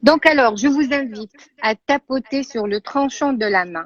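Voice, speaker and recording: Lively in intonation, a woman speaks very slowly. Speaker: therapist. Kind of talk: guided exercise.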